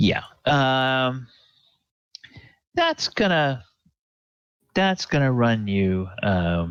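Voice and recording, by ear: Talking at a very slow pace, a man shows vocal fry, big pitch swings and a fairly bright tone.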